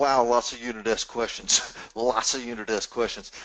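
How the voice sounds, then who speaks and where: A medium-pitched man with a Southern US accent, at a fairly slow pace. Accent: southern drawl. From US South. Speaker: Q&A moderator. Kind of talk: webinar Q&A discussion. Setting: live webinar.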